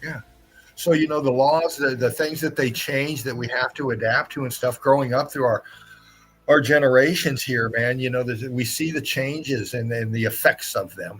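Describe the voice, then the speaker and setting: Backed by music, a man speaks in a medium pitch with fairly even intonation. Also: moderate pace. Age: 60s. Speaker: live stream host. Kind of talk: casual chat. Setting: live stream.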